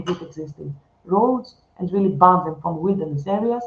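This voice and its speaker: A woman's somewhat breathy voice at a medium pitch, moderate in pace, with lively intonation. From Greece. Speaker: researcher. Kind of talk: conference talk.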